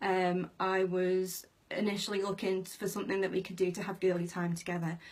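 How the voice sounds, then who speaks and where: A woman with a British accent, medium in pitch, at a fairly quick pace. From UK. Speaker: direct sales team manager. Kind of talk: live video training. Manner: casual, many fillers.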